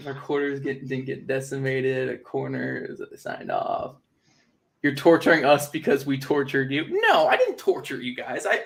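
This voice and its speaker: A man at a moderate pace, with big swings in loudness. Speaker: football content creator. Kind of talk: livestream commentary. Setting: livestream. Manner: sarcastic-sounding; casual.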